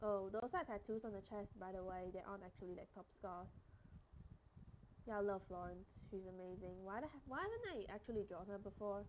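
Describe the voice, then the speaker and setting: In a plain, everyday voice, a woman speaks at a fairly quick pace and medium pitch with fairly even intonation. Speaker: streamer and artist. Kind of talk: casual chat. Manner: casual, rambling with fillers.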